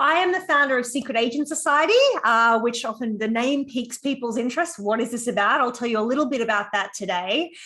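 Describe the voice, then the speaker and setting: A woman speaks with an Australian accent in a high, bright, sharp voice. Her intonation is lively. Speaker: psychologist and program founder. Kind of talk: conference talk.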